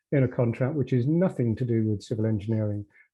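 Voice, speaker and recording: A man speaks in a plain, everyday voice at a medium pitch. His pace is fairly quick. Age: 60s. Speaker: former civil engineer, session participant. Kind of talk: casual discussion.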